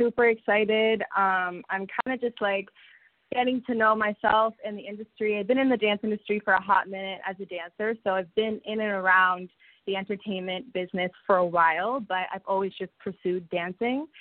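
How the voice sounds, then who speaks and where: A woman's medium-pitched voice moves at a moderate speed, its intonation fairly even. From Toronto, Canada. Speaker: singer and dancer. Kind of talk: interview.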